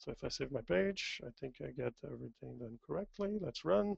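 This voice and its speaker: A man with a French accent speaks with very wide pitch swings, recorded with a dry, close sound and no echo. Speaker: software demo presenter. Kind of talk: tutorial. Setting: webinar.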